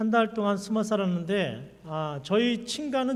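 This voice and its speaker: A man's lively intonation rings out with audible room echo. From South Korea, Daegu then Suwon. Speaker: pastor and seminary professor. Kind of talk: sermon with personal testimony.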